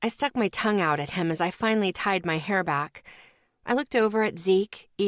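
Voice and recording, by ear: The background stays quiet. The speaker reads aloud in a natural voice, with ordinary pitch variation.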